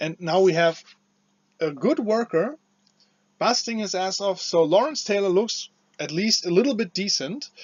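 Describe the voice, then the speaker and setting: A man with a non-native accent, high-pitched, with lively intonation at a moderate pace. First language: not English. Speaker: wrestling commentator / video creator. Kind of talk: casual opinion commentary. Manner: halting, many fillers and restarts.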